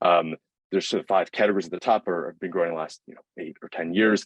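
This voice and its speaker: Speaking at a very fast pace, a man with a very deep, low pitch comes through in a dry, close sound with no echo. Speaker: student startup founder pitching. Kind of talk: pitch presentation. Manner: halting, many fillers.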